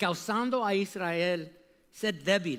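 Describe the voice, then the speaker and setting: On a very clean recording with a silent background, a man with a non-native accent speaks at a very slow pace with ordinary pitch variation. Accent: non-native Spanish speaker. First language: English (speaking Spanish). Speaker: preacher. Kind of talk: sermon. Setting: church. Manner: animated.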